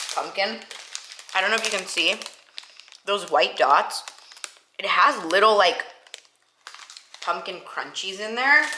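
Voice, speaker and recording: Amid audible room echo, a woman of medium pitch talks at a fairly slow pace. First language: not English. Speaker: fitness vlogger and bodybuilder. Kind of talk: casual vlog talk to camera. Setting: at home, kitchen. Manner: animated.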